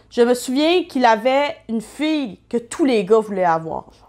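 In a Quebec accent, a woman talks at a fairly slow pace with a high pitch. Behind her the background is quiet. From Quebec, Saguenay. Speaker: YouTuber. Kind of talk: personal testimony. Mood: reflective, candid. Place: home room. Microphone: webcam.

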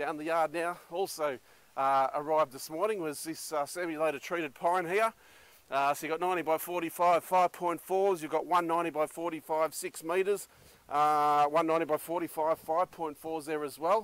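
A man at a fairly slow pace with fairly even intonation, in a dry sound with no echo. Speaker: auction house staff. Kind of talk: walkthrough commentary. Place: open country.

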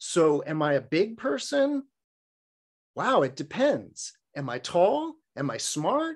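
Speaking very slowly with long, frequent pauses, a man with a Californian accent uses a high pitch that swings very widely. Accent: Californian American English. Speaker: Buddhist dharma teacher. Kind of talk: dharma talk. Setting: online video session. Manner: humorous storyteller; casual, frequent filler words.

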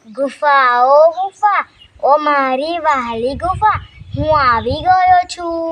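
Someone uses a put-on character voice at a high pitch and a very slow pace. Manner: sweet, coaxing.

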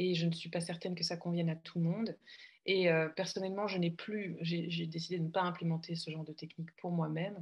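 A woman speaks in a monotone, flat way, somewhat breathy. The recording is very clean with a silent background. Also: fairly low pitch for a woman. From Belgium. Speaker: coach. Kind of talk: casual conversation. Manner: halting, repeats words.

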